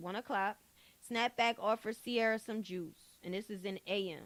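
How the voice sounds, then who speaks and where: On a very clean recording with a silent background, a woman speaks fairly slowly at a medium pitch with ordinary pitch variation. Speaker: online commentary streamer. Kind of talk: live stream commentary, reading documents aloud. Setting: live stream. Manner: loud.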